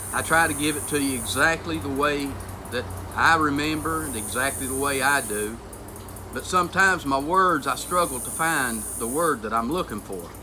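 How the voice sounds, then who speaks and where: Moderate pace, with noticeable noise in the background. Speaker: homesteading channel host. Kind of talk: personal vlog monologue. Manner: halting, struggles for words.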